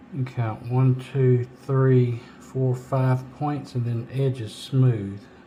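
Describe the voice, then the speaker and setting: A man mumbles at a very slow pace with hardly any pauses, his medium pitch held in a monotone, flat intonation. Noticeable background noise runs behind him. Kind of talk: DIY repair tutorial talk. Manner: mumbling, low volume; casual, hesitant.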